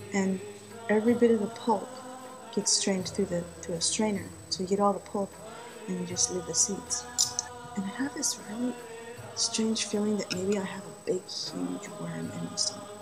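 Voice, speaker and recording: A woman speaks at a moderate pace with a medium pitch and fairly even intonation, leaving long, frequent pauses while music plays in the background. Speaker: vlogger. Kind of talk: casual vlog monologue.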